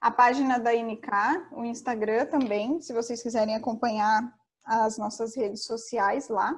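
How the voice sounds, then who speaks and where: Talking at a fairly slow pace, a woman with an unremarkable speaking voice has a fairly high pitch. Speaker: finance consultant. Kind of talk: online lecture. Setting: online event.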